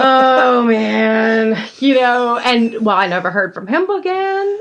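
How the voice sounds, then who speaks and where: Against noticeable background noise, a high-pitched woman speaks very slowly with very wide pitch swings. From Georgia, US South. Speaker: podcast co-host. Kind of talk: casual chat. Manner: animated.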